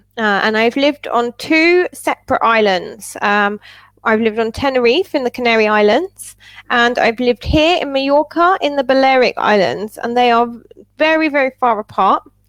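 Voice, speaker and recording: With an English accent, a woman speaks at a moderate pace in a high pitch, her intonation lively and her loudness very even, in a dry, close sound with no echo. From England. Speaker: English tutor. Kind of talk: casual chat. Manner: animated.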